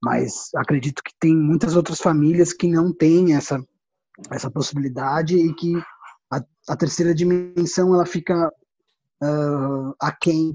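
With music in the background, a man with a fairly high pitch speaks at a fairly slow pace in fairly even intonation, taking long, frequent pauses. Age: 40s. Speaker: theatre artist and researcher. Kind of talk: interview.

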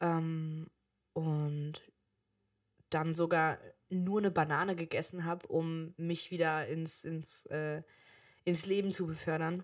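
Very slow, monotone speech with flat intonation and long, frequent pauses on a very clean recording with a silent background. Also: woman, fairly low pitch for a woman. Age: 20s. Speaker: podcast co-host, daughter. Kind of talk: casual chat.

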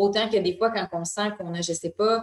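The intonation is flat and monotone. Delivery comes at a fairly quick pace. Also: woman. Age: 20s. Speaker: wellness magazine co-founder. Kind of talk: interview conversation.

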